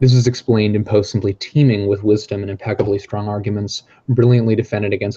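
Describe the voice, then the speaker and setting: Speaking at a very fast pace in a flat monotone, a man with a fairly low, somewhat breathy voice is heard in a dry, close recording with no echo over a quiet background. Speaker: trainee practitioner. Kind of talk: reading aloud.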